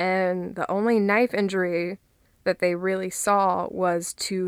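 A soft-spoken woman at medium pitch on a very clean recording with a silent background. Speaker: podcast host. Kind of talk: casual chat.

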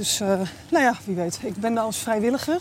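Noticeable background noise behind a woman with a fairly high pitch. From Amsterdam, Netherlands. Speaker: IT worker and police volunteer. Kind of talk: casual chat. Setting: outdoors, walking.

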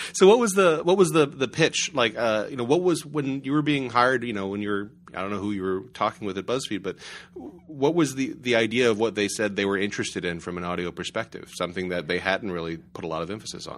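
A man at a medium pitch, very wide pitch swings, a very fast pace, on a very clean recording with a silent background. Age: 30s. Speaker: podcast host, journalism lab director. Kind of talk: interview. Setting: recorded in a house.

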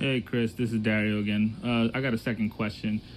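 This man has a plain, everyday voice pitched in the medium range. He speaks at a moderate pace. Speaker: fellow podcaster. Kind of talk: recorded voice message. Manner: joking.

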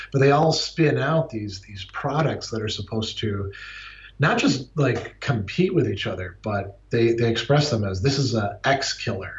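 A man talks at a moderate pace with lively intonation. His voice is somewhat breathy and sits at a medium pitch. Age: 40s. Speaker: philosophy professor. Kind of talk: interview. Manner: halting, many repeated words.

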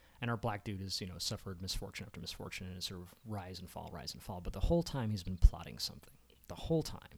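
Somewhat breathy and very fast, a man talks with an American accent in a very deep, low pitch with ordinary pitch variation. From Maryland, Baltimore County. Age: 40s. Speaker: filmmaker and content strategist. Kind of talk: casual chat.

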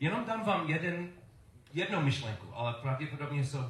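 This man has a fairly high pitch and lively intonation at a moderate pace. Noticeable background noise and audible room echo fill the recording. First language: English (speaking Czech). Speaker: preacher. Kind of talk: sermon. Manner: halting.

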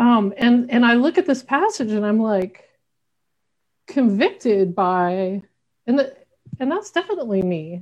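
A woman with an American accent speaks at a fairly slow pace and fairly high pitch, her pitch swinging very widely, with long, frequent pauses. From US South, Arkansas. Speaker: pastor and racial justice organizer. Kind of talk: bible study conversation.

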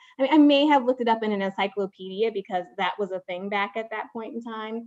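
With a Chicago accent, a woman talks at a very fast pace with a fairly high pitch and ordinary pitch variation. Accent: Chicago-area American. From Chicago suburbs, Illinois (Waukegan). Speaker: corporate marketing executive. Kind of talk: interview. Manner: filler-heavy, with frequent ums and repeated words.

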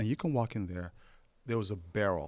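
In a very clean recording with a silent background, the voice carries a Somali accent and ordinary pitch variation. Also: man. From Somalia. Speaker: photographer. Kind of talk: casual interview. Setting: studio.

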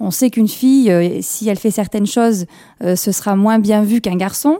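Fairly high pitch, ordinary pitch variation and a moderate pace in a woman's unremarkable speaking voice. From France, Kabyle family. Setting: radio studio.

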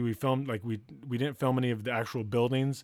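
A man speaks at a fairly quick pace with fairly even intonation and a medium pitch, recorded very cleanly against a silent background with a dry, close sound and no echo. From US West Coast, Santa Barbara, California. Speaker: writer-director. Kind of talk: casual chat.

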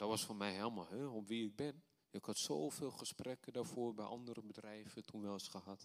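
A man speaks at a moderate pace with ordinary pitch variation. His is an unremarkable speaking voice. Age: 30s. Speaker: preacher. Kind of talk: sermon.

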